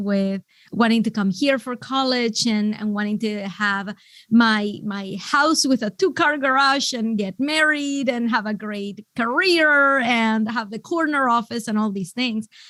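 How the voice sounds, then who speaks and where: A woman with a fairly high voice speaks at a fairly slow pace with ordinary pitch variation and hardly any pauses, on a very clean recording with a silent background. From Venezuela. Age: 40s. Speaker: business coach. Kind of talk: podcast interview.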